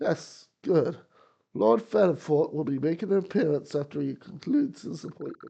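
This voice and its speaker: A raspy, put-on character voice at a moderate pace, with very wide pitch swings. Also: man. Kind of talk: stuffy butler. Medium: game stream. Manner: formal, fussy, ends phrases with "yes".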